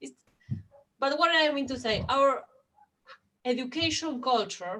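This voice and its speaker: This woman speaks with a Spanish accent. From Argentina. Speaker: education policy expert. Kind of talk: panel discussion. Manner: halting.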